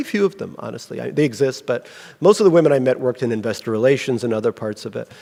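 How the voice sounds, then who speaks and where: A man with lively intonation and a slight Russian accent. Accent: slight Russian accent in American English. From Russia (Leningrad). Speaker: novelist. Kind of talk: Q&A at book event. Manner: hesitant, many fillers and restarts.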